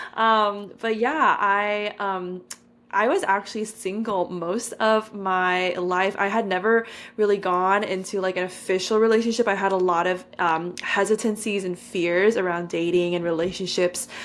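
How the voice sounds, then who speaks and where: A woman with a Californian accent talks at a moderate pace in a medium pitch, her intonation fairly even. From California, San Francisco Bay Area. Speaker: podcaster and content creator. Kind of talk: podcast interview.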